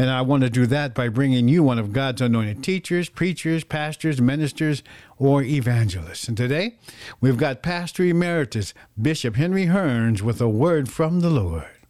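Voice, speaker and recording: With an unremarkable speaking voice, a man talks at a moderate pace and medium pitch, his intonation lively. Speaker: radio host. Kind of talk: radio dj patter. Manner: warm, upbeat, preacherly; smooth, rhythmic, ad-read delivery.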